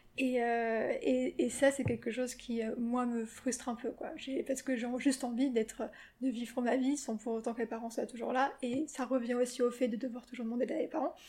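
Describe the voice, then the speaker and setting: A woman at a moderate pace, high-pitched, with fairly even intonation. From France, Paris. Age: 30s. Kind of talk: interview. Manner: halting, many fillers.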